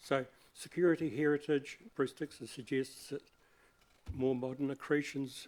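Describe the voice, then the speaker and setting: Speaking at a moderate pace, a man with a fairly high pitch and a New Zealand accent keeps a monotone, flat intonation. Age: 70s. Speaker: community hall volunteer. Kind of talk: public submission to council hearing. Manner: halting.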